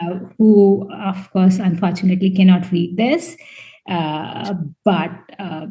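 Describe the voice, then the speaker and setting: At a very slow pace, a woman talks with a medium pitch and fairly even intonation. Her dark, mellow tone is somewhat breathy, with big swings in loudness. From India. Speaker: scientist and debut novelist. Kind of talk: interview. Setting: podcast interview. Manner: halting, many fillers and repeats.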